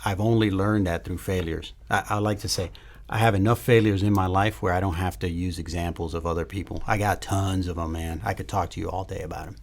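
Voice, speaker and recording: A man with a very deep, low pitch and a somewhat breathy voice talks at a very fast pace with hardly any pauses and fairly even intonation. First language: not English. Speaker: special forces soldier. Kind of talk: casual chat.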